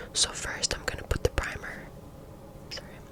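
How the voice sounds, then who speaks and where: Someone whispers in a relaxed tone with noticeable background noise behind them. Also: woman. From Canada. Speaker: ASMR creator. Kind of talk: ASMR makeup tutorial talking to camera. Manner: soft, relaxed.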